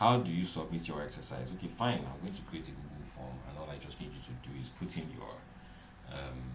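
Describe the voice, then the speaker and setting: A man with a very deep, low pitch talks at a fairly quick pace, with lively intonation and big swings in loudness. The recording has audible room echo and noticeable background noise. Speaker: online instructor. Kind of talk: online class lecture. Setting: live stream. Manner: fast.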